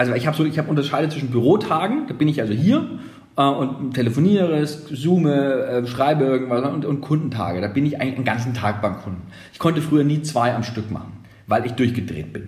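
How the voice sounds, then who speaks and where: A man with a fairly high pitch talks very fast, using ordinary pitch variation. Audible room echo surrounds his voice. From Germany, Nuremberg (Franconia). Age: 40s. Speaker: radio consultant, former radio presenter. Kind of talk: podcast interview.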